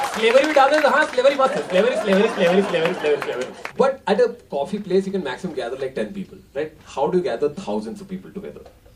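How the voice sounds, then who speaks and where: Very wide pitch swings and an animated tone come through over noticeable background noise. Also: man, high pitch for a man. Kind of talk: stand-up comedy. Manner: animated, rapid-fire, heavily repeating words for comic effect; switches between Hindi and English, mimics crowds and characters.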